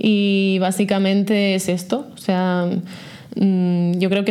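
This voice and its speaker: Her tone dark and mellow, a woman speaks with fairly even intonation. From Catalonia, Vallès Oriental. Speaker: startup founder and CEO. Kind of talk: interview.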